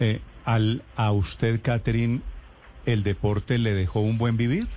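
A man talks at a fairly slow pace with long, frequent pauses, his pitch medium and his intonation fairly even. His dark, mellow tone is somewhat breathy, and his loudness stays very even. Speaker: radio interviewer. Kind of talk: radio interview.

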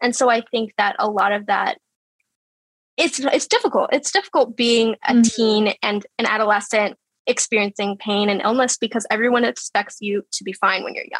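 Recorded with a dry, close sound and no echo, an ordinary speaking voice moves at a moderate pace with ordinary pitch variation. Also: woman, fairly high pitch for a woman. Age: 20s. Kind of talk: casual interview chat.

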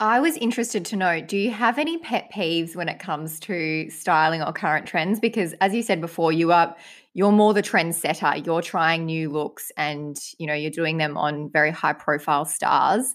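A woman's fairly low voice at a moderate pace, with ordinary pitch variation and hardly any pauses, on a very clean recording with a silent background. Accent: Australian. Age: 20s. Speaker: podcast co-host. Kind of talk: casual chat.

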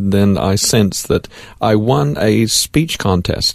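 This man speaks with an American accent. His pitch is fairly low, with ordinary variation. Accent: American, noticeable. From Central Florida, US. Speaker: farmer, accident survivor. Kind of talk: testimony. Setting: studio.

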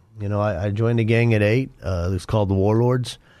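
In a quiet background, a man with an American accent speaks at a fairly low pitch, with a dark, mellow tone and fairly even intonation. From Denver, Colorado. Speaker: former gang member turned ministry author. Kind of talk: testimony.

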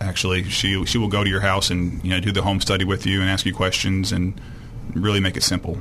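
Delivered at a very fast pace with monotone, flat intonation and very even loudness, the speech sits over noticeable background noise. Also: man, very deep, low pitch for a man. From Arkansas, moved from Illinois at about 12. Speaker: state legislator. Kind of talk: radio interview. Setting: studio.

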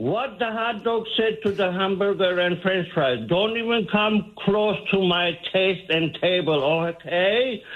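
A man with a high pitch speaks at a very slow pace, with ordinary pitch variation and noticeable background noise. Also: hardly any pauses, very even loudness. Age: 60s. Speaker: barber, comedic caller. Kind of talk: comedic phone bit. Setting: phone call.

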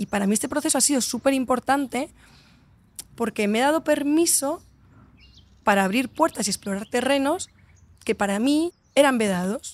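A woman with a high voice speaks in an animated tone and lively intonation, leaving long, frequent pauses. The sound is dry and close, with no echo. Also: moderate pace. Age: 30s. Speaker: entrepreneur and author. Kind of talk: casual interview. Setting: outdoors in a hotel garden.

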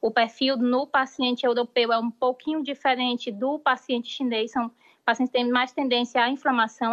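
A woman speaks with a high pitch at a moderate pace. Her intonation is monotone and flat. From Brazil. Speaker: doctor. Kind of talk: live interview. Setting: remote live link from Spain.

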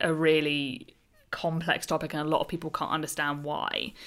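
A bright, sharp tone at a fairly quick pace with a British accent. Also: woman, very clean recording, silent background. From UK. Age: 30s. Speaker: podcast host on personal finance. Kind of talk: casual interview.

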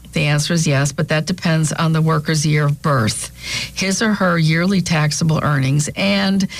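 The speaker has an American accent and ordinary pitch variation. Music plays in the background. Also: woman. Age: 60s. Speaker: radio talk show co-host, financial planner. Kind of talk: casual radio chat. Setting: studio.

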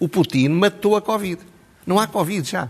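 Fairly quick speech carries noticeable vocal fry. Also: man. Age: 70s. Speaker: political commentator. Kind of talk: TV commentary interview.

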